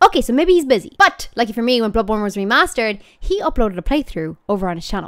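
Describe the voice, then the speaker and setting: A woman speaks with very wide swings in pitch. The background is quiet. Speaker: gaming video creator. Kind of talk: casual vlog chat. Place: home room. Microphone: studio mic.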